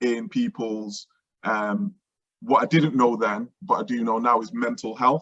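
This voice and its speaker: Medium in pitch, a man talks at a moderate pace with very wide pitch swings, the sound dry and close with no echo. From Manchester, northern England. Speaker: education entrepreneur. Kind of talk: interview. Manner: halting, many fillers and restarts.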